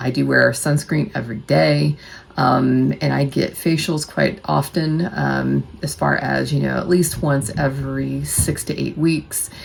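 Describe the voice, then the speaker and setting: The speaker has an American accent and a fairly slow pace, with hardly any pauses. Pitch swings are very wide, and background noise is noticeable. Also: woman, very deep, low pitch for a woman. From United States. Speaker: nurse and bariatric surgery vlogger. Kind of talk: casual vlog talk to camera. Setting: at home. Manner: quieter than usual, not projecting.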